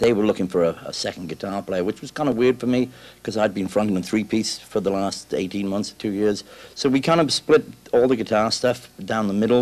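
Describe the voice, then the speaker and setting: A man with a Welsh accent talks at a fairly quick pace with fairly even intonation. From South Wales. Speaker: rock guitarist. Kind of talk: interview. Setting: music store. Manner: halting.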